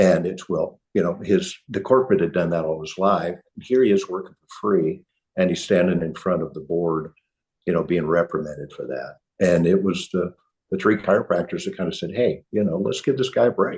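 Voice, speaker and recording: With a Midwestern US accent, a man talks at a fairly quick pace in a very deep, low pitch, his loudness swinging widely. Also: ordinary pitch variation. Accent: US Midwest. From Kansas (Hutchinson). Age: 70s. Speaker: chiropractor. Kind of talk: podcast interview. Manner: halting, with many repeats.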